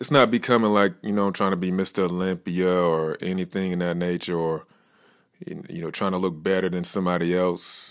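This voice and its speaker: The man's voice is very deep and low, at a fairly quick pace. The recording is very clean, with a silent background. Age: 30s. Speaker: fitness podcaster, bodybuilding competitor. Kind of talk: motivational monologue. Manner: casual, energetic.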